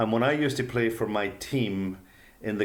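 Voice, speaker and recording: Recorded with audible room echo, the speaker uses a Derry accent, a moderate pace and ordinary pitch variation. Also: man. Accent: Northern Irish (Derry). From Northern Ireland (Derry). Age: 60s. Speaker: author and humanitarian. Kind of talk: interview storytelling.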